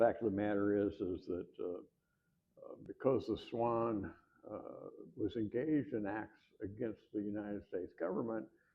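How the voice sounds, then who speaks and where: Fairly low in pitch, a man talks with ordinary pitch variation. His pace is moderate. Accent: Midwestern. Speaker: historian and author. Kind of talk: lecture. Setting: room with live audience. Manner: halting, many fillers.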